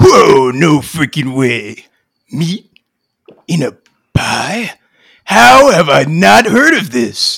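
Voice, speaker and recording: Putting on a character voice, a man speaks fairly high for a man at a very slow pace, with long, frequent pauses. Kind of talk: comic parody drama. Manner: cocky, wisecracking.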